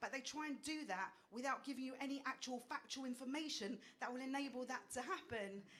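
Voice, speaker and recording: A woman with an Essex accent and an animated tone. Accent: Essex accent, people may struggle. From England, Essex. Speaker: stand-up comedian. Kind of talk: stand-up. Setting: stage with audience.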